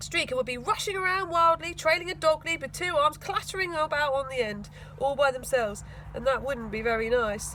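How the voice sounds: A woman talks at a fairly quick pace with a high pitch and ordinary pitch variation. Her tone is bright and sharp.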